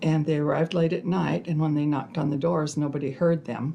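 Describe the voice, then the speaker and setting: Speaking at a fairly quick pace with a western US accent, a woman with a very deep, low pitch uses fairly even intonation and a dark, mellow tone. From southern Idaho, Twin Falls. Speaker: family elder telling life story. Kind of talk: oral history interview. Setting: family history library.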